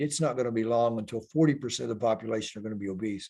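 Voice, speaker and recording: A man speaks at a medium pitch with ordinary pitch variation, in a plain, everyday voice. The recording is very clean, with a silent background. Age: 60s. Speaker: retired stuntman and climber. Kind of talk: interview.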